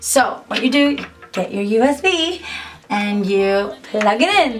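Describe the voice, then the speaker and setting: The intonation is lively. There is light background noise. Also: woman. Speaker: singer-songwriter and YouTuber; YouTuber. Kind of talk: tutorial. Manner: casual, chatty. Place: home room.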